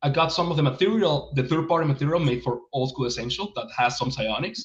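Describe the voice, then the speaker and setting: A man speaks in a Spanish accent with a bright, sharp tone. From Venezuela. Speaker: game writer and publisher. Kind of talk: interview. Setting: livestream. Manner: halting, many repetitions.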